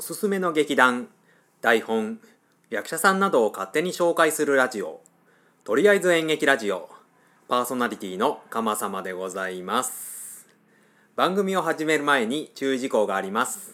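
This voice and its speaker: Bright and sharp in tone, a man's fairly high voice moves at a moderate pace with very wide pitch swings on a very clean recording with a silent background. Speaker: podcast host. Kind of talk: solo radio-style talk. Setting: apartment room. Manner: frequent filler hesitations.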